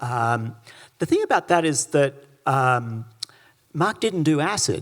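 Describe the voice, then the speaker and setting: A man with a plain, everyday voice speaks at a fairly slow pace, his pitch fairly high, his intonation lively and his loudness very even. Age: 60s. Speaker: author and academic. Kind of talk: public conversation.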